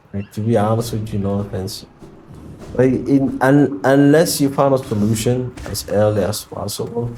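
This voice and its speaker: Delivery comes at a moderate pace with ordinary pitch variation. Background noise is noticeable. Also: man, medium pitch for a man. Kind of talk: casual talk to camera. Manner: rambling, conversational.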